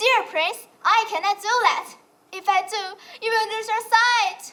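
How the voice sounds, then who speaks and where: A female-sounding, put-on character voice with an extremely high pitch speaks at a fairly slow pace. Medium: stage play.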